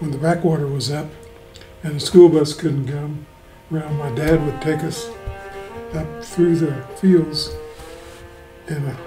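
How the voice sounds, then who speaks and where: With music in the background, a man speaks at a fairly slow pace with long, frequent pauses. His pitch is fairly high, his intonation fairly even, and his loudness swings widely. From Kentucky. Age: 80s+. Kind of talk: interview answer. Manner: tires easily.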